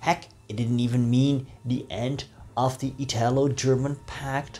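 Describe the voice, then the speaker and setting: A man's fairly slow speech comes with faint background music. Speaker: presenter. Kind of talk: history narration. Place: home room. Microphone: lapel.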